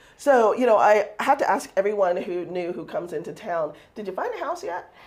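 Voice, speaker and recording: A woman with an American accent talks at a fairly quick pace, her pitch swinging very widely. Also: medium pitch for a woman, big swings in loudness. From Texas. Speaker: talk show host. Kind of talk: casual interview.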